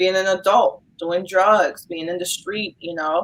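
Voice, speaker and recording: With a New York accent, a woman speaks at a moderate pace and medium pitch with ordinary pitch variation. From New York, Brooklyn. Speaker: social worker. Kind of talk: casual interview. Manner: hesitant, many fillers.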